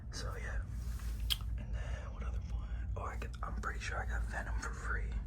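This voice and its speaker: Noticeable background noise sits behind a voice whispering at a moderate pace. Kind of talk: ASMR collection show-and-tell. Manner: whispered.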